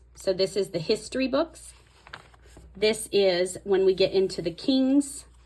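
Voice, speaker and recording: In an ordinary speaking voice, a woman talks at a fairly slow pace and medium pitch with ordinary pitch variation. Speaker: Bible journaling tutorial creator. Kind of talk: tutorial. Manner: casual, self-correcting.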